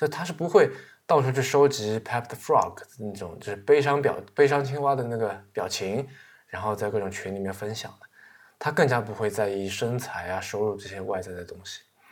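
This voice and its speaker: A man speaks at a moderate pace in an unremarkable speaking voice, his pitch medium. His pitch varies in an ordinary way while his loudness swings widely. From China. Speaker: podcast host. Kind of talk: casual monologue about books. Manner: many filler sounds.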